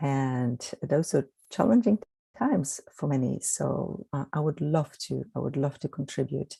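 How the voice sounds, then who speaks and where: A fairly slow pace with a Polish accent. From Poland. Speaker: energy healer. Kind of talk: guided meditation.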